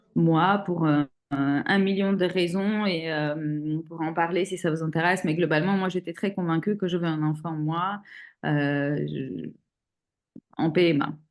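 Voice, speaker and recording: A woman's plain, everyday voice, fairly low in pitch, with fairly even intonation and a fairly slow pace against a quiet background. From Armenia. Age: 40s. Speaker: single mother sharing fertility journey. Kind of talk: interview testimony.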